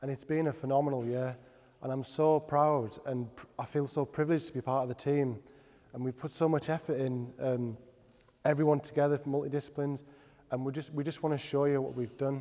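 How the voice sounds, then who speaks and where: A man talks at a fairly quick pace in a monotone, flat intonation. His tone is dark and mellow. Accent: Teesside. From Middlesbrough, north-east England. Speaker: product designer. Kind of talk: presentation. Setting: stage with audience. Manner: halting.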